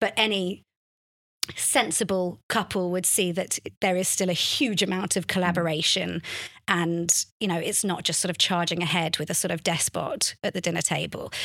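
With a normal speaking voice, a woman of fairly low pitch talks at a moderate pace and with fairly even intonation. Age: 30s. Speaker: journalist and author on faith and recovery. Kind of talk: casual interview chat. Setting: studio.

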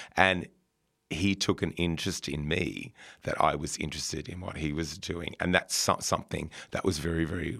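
A man with a very deep, low pitch and a bright, sharp tone speaks at a moderate pace with fairly even intonation. The recording is very clean, with a silent background. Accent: Australian. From rural New South Wales, Australia. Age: 50s. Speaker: former fashion retailer and school community liaison. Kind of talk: interview. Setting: radio studio. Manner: halting, many repetitions and fillers.

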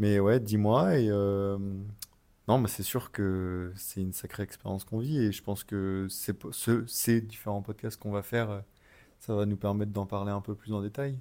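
A man speaks at a fairly slow pace with fairly low pitch and a dark, mellow tone. His intonation is fairly even, in a very clean recording with a silent background. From Paris, France. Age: 20s. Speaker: travel podcast co-host. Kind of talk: casual chat.

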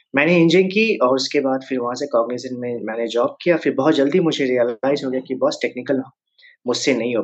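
This man's voice is pitched at a medium level. Its variation in pitch is ordinary. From Jharkhand, India (Jamshedpur). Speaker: career counselor and startup founder. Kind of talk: podcast interview. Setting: virtual studio.

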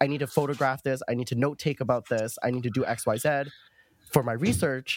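Speaking at a fairly quick pace, a man has an ordinary speaking voice. His medium pitch holds fairly even intonation. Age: 20s. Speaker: grad student and rave researcher. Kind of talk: casual chat.

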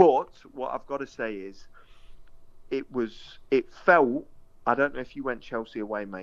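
A man in an East Midlands accent speaks with big swings in loudness and long, frequent pauses. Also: medium pitch for a man, ordinary pitch variation, moderate pace. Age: 30s. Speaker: former footballer. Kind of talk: casual chat.

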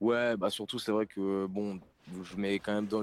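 His voice sits fairly low. He delivers everything in a flat, monotone way. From northern France, Lille. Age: 20s. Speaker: rapper. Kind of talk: interview. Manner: casual.

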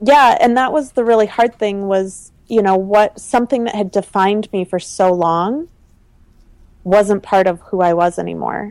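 A woman with an American accent, a plain, everyday voice, moderate pace and ordinary pitch variation. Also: medium pitch for a woman. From US Midwest (Minnesota). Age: 30s. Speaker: entrepreneur and fashion designer. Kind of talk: interview conversation.

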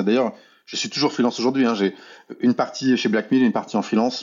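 A man's voice of medium pitch. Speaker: illustrator and art director. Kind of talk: casual interview. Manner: fast.

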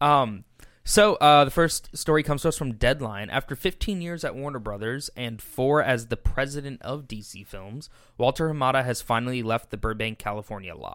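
A man speaks with an unremarkable speaking voice at a medium pitch, his intonation lively and his loudness swinging widely. The recording is very clean, with a silent background. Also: moderate pace. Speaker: co-host reading movie news. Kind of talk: casual chat.

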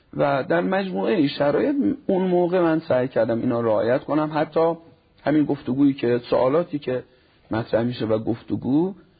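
Over noticeable background noise, a fairly high-pitched man speaks at a fairly quick pace with lively intonation and very even loudness. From Iran, Nishapur (Khorasan Razavi). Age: 40s. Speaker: cleric and family counselor. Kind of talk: TV talk show interview.

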